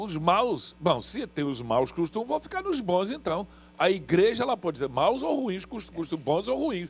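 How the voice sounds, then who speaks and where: An animated tone at a moderate pace, with very wide pitch swings. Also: man. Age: 60s. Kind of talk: TV panel discussion.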